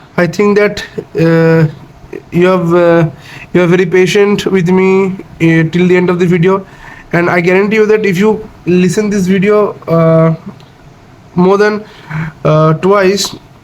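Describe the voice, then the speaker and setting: A man speaks in a high pitch with monotone, flat intonation. His pace is fairly slow against noticeable background noise. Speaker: explainer video host. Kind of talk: unscripted educational explainer. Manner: halting, frequent fillers and restarts.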